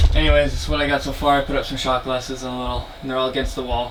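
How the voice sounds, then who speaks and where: With an American accent, a man at medium pitch talks at a very fast pace in a monotone, flat intonation, over noticeable background noise. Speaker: vlogger. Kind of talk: casual vlog. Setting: at home, bedroom. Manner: casual, rambling; quiet, hushed.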